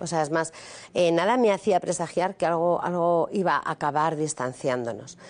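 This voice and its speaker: A woman with a normal speaking voice talks at a moderate pace in a fairly low pitch, with very even loudness and ordinary pitch variation. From Spain, Madrid. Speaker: author. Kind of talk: testimony.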